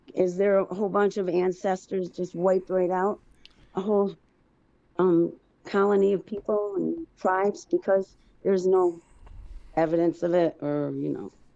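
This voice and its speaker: Her tone dark and mellow, a woman speaks at medium pitch and a moderate pace in a monotone, flat intonation, leaving long, frequent pauses. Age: 60s. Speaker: caller. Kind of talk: casual chat. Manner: halting.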